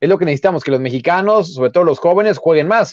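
High-pitched for a man, this voice is recorded dry and close with no echo. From Mexico City, Xochimilco. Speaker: football journalist, former player. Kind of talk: casual chat. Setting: live stream.

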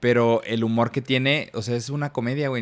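This man talks very fast at a medium pitch, varying it in an ordinary way. Nothing but silence sits behind his voice in the very clean recording. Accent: Mexican. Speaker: podcast co-host. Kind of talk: casual chat.

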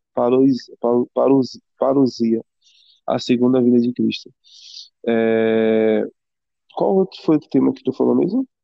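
Long, frequent pauses break up this man's speech. He talks very slowly. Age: 20s. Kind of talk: casual faith conversation.

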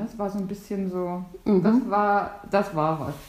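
A woman at a medium pitch is heard with audible room echo over noticeable background noise. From northern Germany, near Stralsund. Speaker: host's sister. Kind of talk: casual chat.

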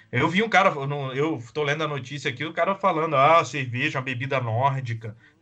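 At a fairly quick pace with hardly any pauses, a man talks in a normal speaking voice. His pitch is fairly high, with ordinary pitch variation. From Espírito Santo, Brazil. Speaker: podcast co-host. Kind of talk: casual political discussion.

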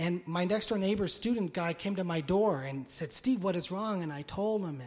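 Ordinary pitch variation runs through a man's high-pitched voice. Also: moderate pace, hardly any pauses. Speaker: pastor. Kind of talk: sermon. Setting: church. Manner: energetic.

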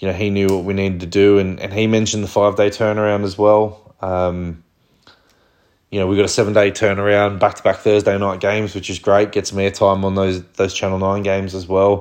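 A man with an Australian accent speaks at a fairly quick pace in a fairly low pitch, his intonation monotone and flat. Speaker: rugby league fan podcast host. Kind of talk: solo sports review commentary. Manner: flat tone; hesitant, many fillers.

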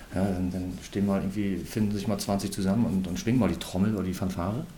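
Talking at a very fast pace, a man with a fairly low pitch keeps his intonation fairly even. Audible room echo surrounds his voice. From Rostock, northern Germany. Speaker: youth football coach and former pro footballer. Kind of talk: casual interview.

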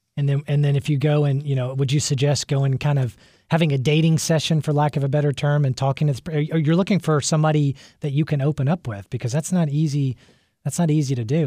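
A man talks at a very fast pace in a fairly high pitch, his tone dark and mellow and somewhat breathy. The sound is dry and close with no echo, on a very clean recording over a silent background. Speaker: radio host and financial planner. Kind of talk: radio talk show. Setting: studio.

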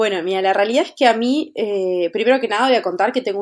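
Her voice sits at a medium pitch, and this woman shows ordinary pitch variation. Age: 30s. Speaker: fashion stylist and motivational speaker. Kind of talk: interview. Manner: halting, repeats words.

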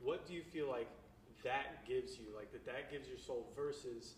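Against audible room echo, a man speaks at a moderate pace in a somewhat breathy voice with fairly even intonation. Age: 20s. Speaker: podcast host. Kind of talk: casual chat.

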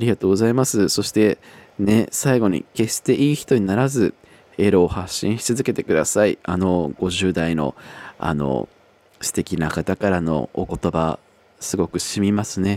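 A man with a dark, mellow tone and fairly low pitch speaks at a fairly slow pace with lively intonation, in a dry, close sound with no echo. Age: 20s. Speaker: podcast host. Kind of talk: casual chat.

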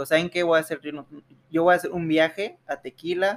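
With a dry, close sound with no echo, a man speaks at a moderate pace in fairly even intonation. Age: 20s. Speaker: university student, accident survivor. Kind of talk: testimony. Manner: halting.

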